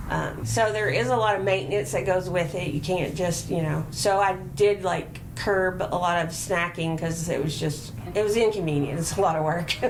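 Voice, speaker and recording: Over noticeable background noise and audible room echo, a woman with a fairly low pitch and ordinary pitch variation talks at a moderate pace with hardly any pauses. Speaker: patient sharing treatment experience. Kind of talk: interview.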